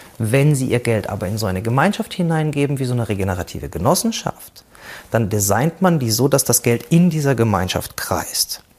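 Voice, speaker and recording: Somewhat breathy and medium in pitch, a man speaks at a fairly quick pace with very wide pitch swings. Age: 40s. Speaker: cooperative founder and business consultant. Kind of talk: presentation talk.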